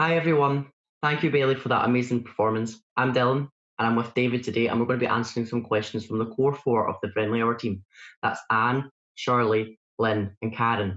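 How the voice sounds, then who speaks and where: The speaker has a Scottish accent and moves at a fairly quick pace. Intonation stays fairly even, and loudness is very even. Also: man, medium pitch for a man. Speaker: church volunteer video editor. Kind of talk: casual Q&A chat. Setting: recorded at home for online service. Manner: fast.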